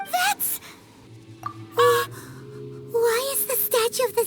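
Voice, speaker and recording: Over faint background music, a put-on character voice at an extremely high pitch speaks at a fairly slow pace. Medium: machinima. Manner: chirpy, excitable.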